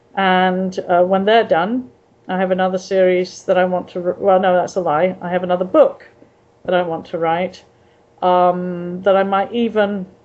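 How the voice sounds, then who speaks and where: At a moderate pace, a woman with an English accent talks in a medium pitch with monotone, flat intonation. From England. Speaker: author. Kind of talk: interview. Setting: video call. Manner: halting.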